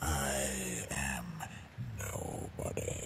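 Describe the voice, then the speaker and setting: Putting on a character voice, a man speaks very deep and low over clear background noise. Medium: actual play. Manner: solemn, calm.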